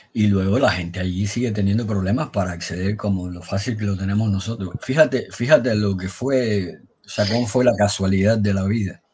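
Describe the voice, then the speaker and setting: A somewhat breathy man at a fairly low pitch, fairly quick with hardly any pauses and ordinary pitch variation. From Havana, Cuba; Cuba. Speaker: blogger and amateur historian; guest. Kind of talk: storytelling history talk. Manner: halting. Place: home room. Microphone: video call.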